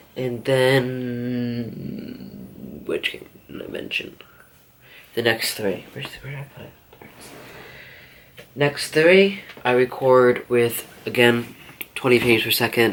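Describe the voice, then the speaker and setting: Over noticeable background noise, a man talks at a medium pitch with long, frequent pauses. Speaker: small YouTuber. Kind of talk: casual gear tutorial. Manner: halting, many fillers.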